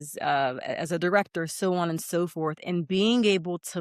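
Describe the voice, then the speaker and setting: On a very clean recording with a silent background, a woman with a Pittsburgh accent speaks fairly slowly with ordinary pitch variation. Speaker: educator and single mother. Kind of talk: interview. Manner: halting, many fillers.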